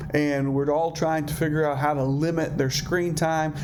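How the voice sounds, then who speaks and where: With monotone, flat intonation, a man speaks in a fairly high pitch amid noticeable background noise and audible room echo. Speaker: counselor presenting a seminar. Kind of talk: seminar presentation. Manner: fast.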